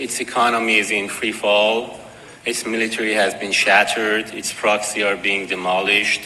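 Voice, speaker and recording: A man in a Persian accent talks at a medium pitch and moderate pace. Noticeable background noise and audible room echo surround his voice. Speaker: political activist speaker. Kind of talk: conference speech.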